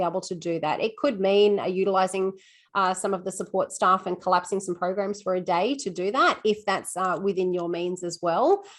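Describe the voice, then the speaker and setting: In an Australian accent, a woman talks at a fairly quick pace with hardly any pauses and fairly even intonation. Her pitch is medium, and the background is quiet. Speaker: school assistant principal and teacher. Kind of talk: webinar Q&A answer. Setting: video call webinar. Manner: fast.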